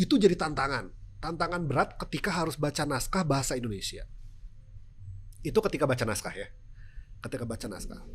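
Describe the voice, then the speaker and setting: With music in the background, a man talks at a very fast pace in a fairly high voice, using lively intonation. He has a strong Sundanese accent and takes long, frequent pauses. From West Java, Sundanese. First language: Sundanese (speaking Indonesian). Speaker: TV news presenter. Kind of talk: podcast interview.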